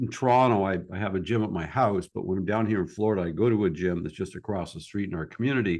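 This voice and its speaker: Against a quiet background, a man uses an unremarkable speaking voice with fairly low pitch and lively intonation. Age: 60s. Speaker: podcast host. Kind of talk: interview. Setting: call. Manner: casual, filler-heavy.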